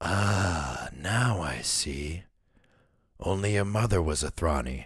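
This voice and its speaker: Using a put-on character voice, a man speaks in a raspy, very deep, low pitch with lively intonation at a fairly slow pace, on a very clean recording with a silent background. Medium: read story. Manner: smooth, controlled.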